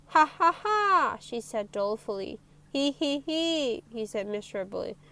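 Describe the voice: Lively intonation in a plain read-aloud delivery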